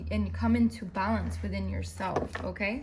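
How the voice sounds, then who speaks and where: Noticeable background noise and audible room echo both surround the woman who is talking. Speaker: tarot reader. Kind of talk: tarot reading monologue. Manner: fast.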